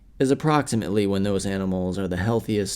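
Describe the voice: The text is read aloud plainly, its pitch moving in an ordinary way.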